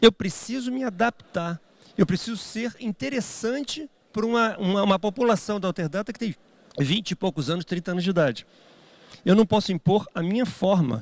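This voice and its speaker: Dry and close with no echo, a man's voice sits high in pitch and moves at a moderate pace. His tone is animated and his intonation lively. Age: 60s. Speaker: business executive and speaker. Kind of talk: keynote talk.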